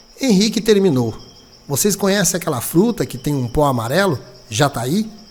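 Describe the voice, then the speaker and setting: Here a man speaks at a moderate pace, his pitch making very wide swings. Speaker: radio announcer and journalist. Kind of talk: dramatized audiobook reading.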